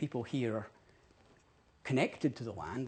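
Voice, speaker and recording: The speaker sounds somewhat breathy, with a Scottish accent. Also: man. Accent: Scottish, intriguing to host. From Scotland, Dundee. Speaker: ecologist. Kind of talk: public talk. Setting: parliament event with audience, live streamed.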